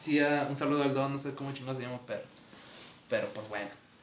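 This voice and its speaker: A man with a Mexican accent speaks at a fairly high pitch. Audible room echo surrounds his voice. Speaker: podcast host. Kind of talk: casual chat.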